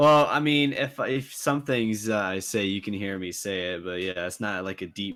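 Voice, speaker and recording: A fairly low-pitched man with a slight Southern US accent and lively intonation, at a moderate pace with hardly any pauses, on a very clean recording with a silent background. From South Carolina, USA. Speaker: beatboxer and looper. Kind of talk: casual interview.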